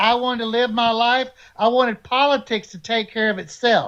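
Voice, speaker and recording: At a moderate pace, a man with a high pitch speaks in an Alabama accent over a quiet background. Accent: Southern US (Alabama). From US South, Alabama. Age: 60s. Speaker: Navy veteran. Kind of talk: live panel political discussion. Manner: animated.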